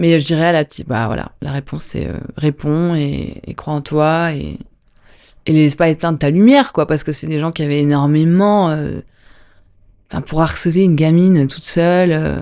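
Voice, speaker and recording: A woman's very deep, low pitch, moderate pace and fairly even intonation against a quiet background. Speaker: dancer and actor. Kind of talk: podcast interview. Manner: calm; soft-spoken.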